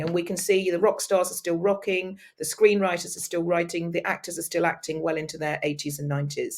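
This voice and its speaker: A woman speaks at a fairly quick pace. She has an ordinary speaking voice with a medium pitch. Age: 60s. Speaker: speaker and business mentor. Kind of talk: interview conversation.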